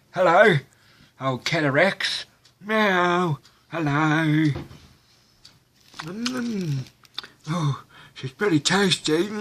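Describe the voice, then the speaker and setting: In a put-on character voice, a man talks very slowly with a high pitch and long, frequent pauses. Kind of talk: comedic voice-over. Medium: dub.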